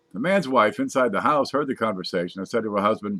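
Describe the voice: Someone reads a text aloud. The delivery is plain reading.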